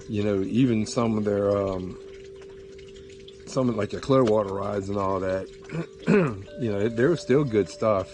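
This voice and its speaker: Music in the background under a man's fairly low voice, moderate pace, ordinary pitch variation and long, frequent pauses. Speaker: fly fisherman. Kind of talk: casual talk to camera.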